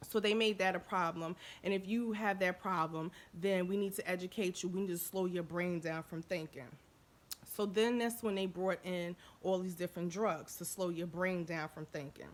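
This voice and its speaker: A woman at medium pitch, with fairly even intonation. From Jersey City, New Jersey. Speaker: vlogger. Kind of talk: casual monologue vlog. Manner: fast.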